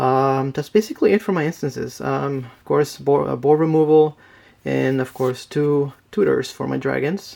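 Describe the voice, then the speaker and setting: This man talks at a moderate pace with a non-native accent. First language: not English. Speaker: card game deck reviewer. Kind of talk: tutorial. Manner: casual, with fillers.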